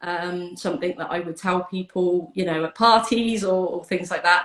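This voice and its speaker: At a moderate pace, a woman speaks with a British accent. Her pitch sits in the medium range with ordinary variation. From UK. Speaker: donor-conception advocate. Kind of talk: interview chat. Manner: hesitant, many fillers.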